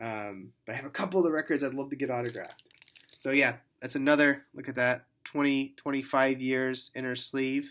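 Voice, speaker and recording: A man with a medium-pitched voice mumbles at a fairly quick pace. His intonation stays fairly even. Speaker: record collector. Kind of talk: casual talk to camera. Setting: hotel room. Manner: mumbling; hesitant, lots of fillers.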